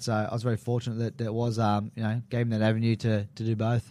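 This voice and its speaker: In a very clean recording with a silent background, a man at medium pitch talks at a very fast pace with monotone, flat intonation and a strong Australian accent. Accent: broad Australian. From Sydney, Australia (Maroubra). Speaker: MMA fighter and big wave surfer. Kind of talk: casual interview. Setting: radio studio.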